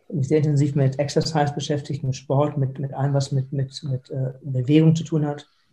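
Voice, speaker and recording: A man's fairly high, somewhat breathy voice with a dark, mellow tone, flat monotone delivery and hardly any pauses. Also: moderate pace. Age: 50s. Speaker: foundation founder with Parkinson's, lawyer and entrepreneur. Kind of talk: interview. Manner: halting, with repeated words.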